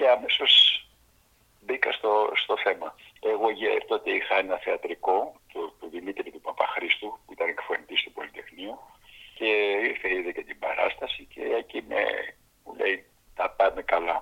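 Amid noticeable background noise, a man talks at a fairly slow pace with long, frequent pauses and big swings in loudness. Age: 80s+. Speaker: actor. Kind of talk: interview.

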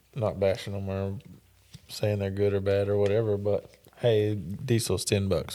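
This speaker talks at a moderate pace with an East Texas accent. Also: man. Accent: East Texas Southern. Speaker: rodeo announcer and arena manager. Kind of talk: casual chat. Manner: reserved.

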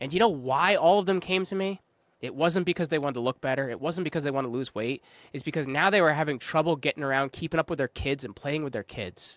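A man speaks very fast at a fairly high pitch, with ordinary pitch variation. The recording is very clean with a silent background and has a dry, close sound with no echo. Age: 30s. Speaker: podcast agency founder. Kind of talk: casual chat.

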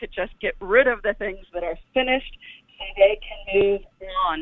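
A woman with a normal speaking voice talks at a fairly slow pace and a medium pitch. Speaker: author and dancer. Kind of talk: radio interview. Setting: live radio call-in show.

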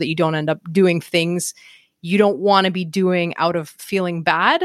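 At a moderate pace and fairly low pitch, a woman with a Montreal accent speaks with monotone, flat intonation, the very clean recording dry and close with no echo and a silent background. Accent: Montreal Canadian English. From Canada, Montreal. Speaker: real estate investor and coach. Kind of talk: interview conversation.

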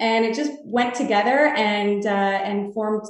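A woman speaks with a Canadian accent in a fairly high voice. Her pitch varies in an ordinary way. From Canada, Toronto. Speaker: real estate sales executive. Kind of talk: interview.

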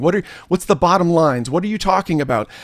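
A man talks very fast in a high voice with lively intonation, on a very clean recording with a silent background. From Canada. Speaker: church growth consultant and podcaster. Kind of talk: casual interview chat.

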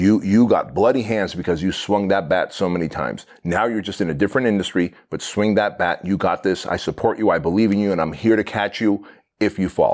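A man's unremarkable speaking voice at a fairly quick pace with hardly any pauses and fairly even intonation, on a very clean recording with a silent background. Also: fairly low pitch for a man. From immigrant to the US, fled communism as a child. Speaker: entrepreneur and business coach. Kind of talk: podcast interview. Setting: in person, same room as host.

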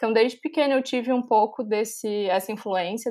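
A woman's fairly high voice, a normal speaking voice with ordinary pitch variation, in a very clean recording with a silent background. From Brazil, Florianópolis, Santa Catarina. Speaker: civil engineer, master's student. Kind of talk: casual interview.

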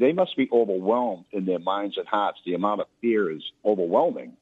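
This man has a normal speaking voice with a fairly low pitch. He talks at a moderate pace. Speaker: caller. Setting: phone call.

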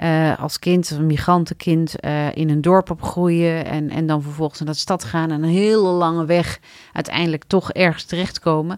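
At a moderate pace, a woman speaks in a fairly low pitch. Her intonation stays monotone and flat. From Morocco, raised in a Dutch village. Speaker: city alderman. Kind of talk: interview. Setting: studio.

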